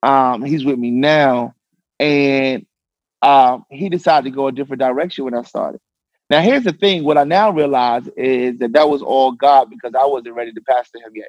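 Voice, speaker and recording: A man with a fairly high pitch talks at a fairly quick pace, with ordinary pitch variation and big swings in loudness. The sound is dry and close, with no echo. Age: young. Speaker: pastor. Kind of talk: casual chat. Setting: studio.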